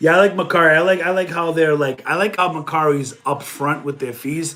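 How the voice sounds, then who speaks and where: A man talks with a Boston accent at a fairly quick pace. His tone is animated. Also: fairly high pitch for a man. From New England (Boston area). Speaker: online reseller and streamer. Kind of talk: live stream chat.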